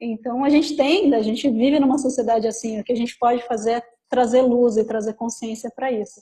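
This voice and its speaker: Her voice sits fairly high, and her intonation stays fairly even. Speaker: talk presenter, works in law. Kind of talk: group discussion in a live talk. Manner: fast.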